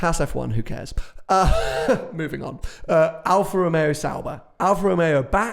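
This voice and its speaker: Over noticeable background noise, a man with a British accent speaks at a moderate pace in a high pitch with ordinary pitch variation. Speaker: podcast host and automotive YouTuber. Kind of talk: casual chat. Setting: office showroom. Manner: hesitant, many fillers.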